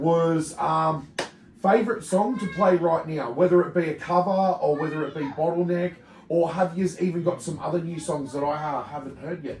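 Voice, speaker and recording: This man speaks with an Australian accent at a high pitch. His pace is moderate and his intonation fairly even. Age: 30s. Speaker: metal podcast host. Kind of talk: casual chat. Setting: studio.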